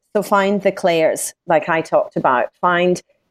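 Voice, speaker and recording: The woman's voice has ordinary pitch variation and a dry, close sound with no echo. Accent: Scottish. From Scotland. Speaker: business coach. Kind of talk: interview.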